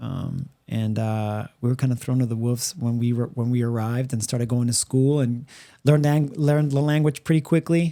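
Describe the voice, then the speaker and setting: A man with a Spanish accent at medium pitch, moderate pace and fairly even intonation. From Puerto Rico. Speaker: podcast co-host. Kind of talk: casual chat. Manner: halting, many fillers and repeats.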